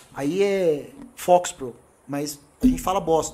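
A fairly high-pitched male voice with lively intonation against noticeable background noise. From São Paulo, Brazil. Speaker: computer engineer. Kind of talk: podcast interview.

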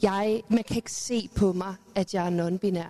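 A woman speaks in a normal speaking voice at a medium pitch, with fairly even intonation. The sound is dry and close, with no echo. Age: 40s. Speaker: youth educator, panelist. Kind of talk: panel debate. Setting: live event with audience.

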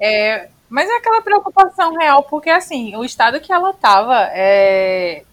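Her pitch rising and falling very widely, a woman talks fairly slowly. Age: 20s. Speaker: civil engineer and podcast co-host. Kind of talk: casual chat.

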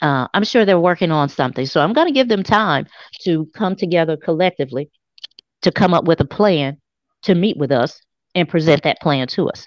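A woman with a fairly low voice and lively intonation is heard in a dry, close sound with no echo and a quiet background. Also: fairly quick pace. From US South, South Memphis, Tennessee. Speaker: talk show co-host. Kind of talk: casual chat. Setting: live stream.

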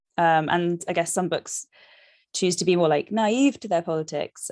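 Against a quiet background, a woman with a London accent speaks in a fairly low pitch with ordinary pitch variation, the sound dry and close with no echo. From South London. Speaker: novelist. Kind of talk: interview.

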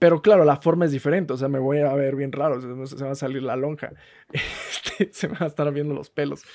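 This man has an unremarkable speaking voice, pitched fairly high, moving at a fairly quick pace with fairly even intonation. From rural Mexico. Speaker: podcast co-host. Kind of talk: casual chat.

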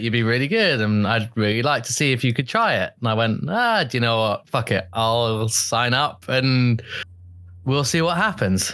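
With a bright, sharp tone, a man talks at a moderate pace in a medium pitch with ordinary pitch variation. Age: 20s. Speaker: guest, pup title holder. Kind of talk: casual interview chat.

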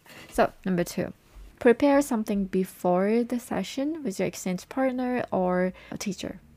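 A woman with a Japanese accent speaks with lively intonation and a dark, mellow tone. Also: fairly high pitch for a woman, moderate pace. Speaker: language learning advisor and English coach. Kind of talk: podcast monologue.

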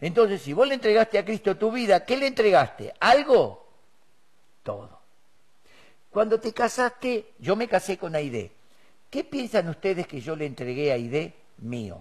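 A man speaks at a high pitch and a fairly slow pace. His pitch swings very widely, and he leaves long, frequent pauses. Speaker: preacher. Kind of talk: sermon.

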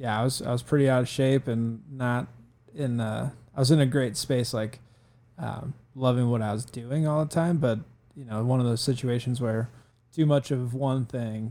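This man has an Upper Midwest accent and a medium pitch, speaking at a moderate pace. His tone is dark and mellow, with fairly even intonation. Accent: Upper Midwest American. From Northern Michigan, Traverse City. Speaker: amateur marathon runner. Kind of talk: casual chat. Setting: studio.

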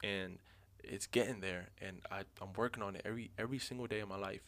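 An ordinary speaking voice at a fairly quick pace, with ordinary pitch variation and a very clean recording over a silent background. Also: man. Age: 20s. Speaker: podcast host. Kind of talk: casual chat.

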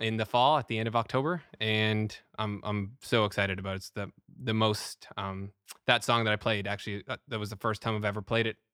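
A man's plain, everyday voice, fairly low in pitch, at a fairly quick pace with fairly even intonation, in a dry, close sound with no echo and a very clean recording, silent background. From Canada. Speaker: musician. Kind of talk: casual chat.

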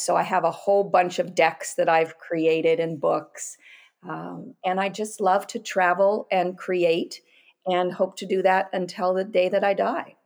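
On a very clean recording with a silent background, a woman with an American accent speaks in a monotone, flat way. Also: medium pitch for a woman, fairly slow pace. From US Pacific Northwest. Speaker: oracle deck creator and artist. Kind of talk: casual chat.

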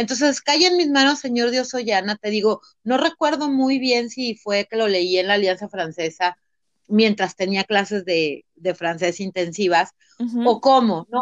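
A woman's pitch swings very widely in a dry, close sound with no echo. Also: fairly high pitch for a woman, fairly slow pace. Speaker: lawyer and personal growth coach. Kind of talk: interview. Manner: halting, many repeated words.

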